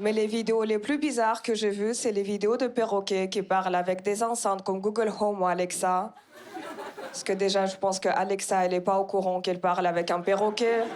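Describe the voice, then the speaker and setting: Through noticeable background noise, a woman speaks at a medium pitch and a fairly quick pace, keeping her intonation fairly even. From Kazakhstan. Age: 20s. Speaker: stand-up comedian. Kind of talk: stand-up. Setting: stage with audience.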